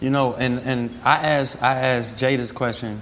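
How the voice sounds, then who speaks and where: A man with an American accent speaks at a medium pitch in a monotone, flat way, with audible room echo and noticeable background noise. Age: 30s. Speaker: restaurant entrepreneur. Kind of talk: casual chat.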